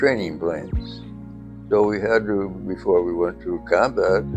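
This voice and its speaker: In an American accent, a man talks at a fairly slow pace with music in the background. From upstate New York. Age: 80s+. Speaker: war veteran, former fighter pilot. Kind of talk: interview answer.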